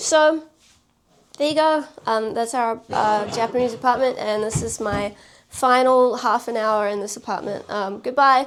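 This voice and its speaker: The speaker has a New Zealand accent and talks at a fairly slow pace. Pitch varies in an ordinary way. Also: woman, fairly high pitch for a woman. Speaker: vlogger. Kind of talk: casual vlog talk.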